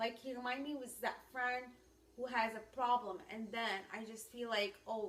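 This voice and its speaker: A woman with a high pitch and a non-native accent talks at a moderate pace. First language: not English. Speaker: ministry teacher. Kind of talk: instructional talk.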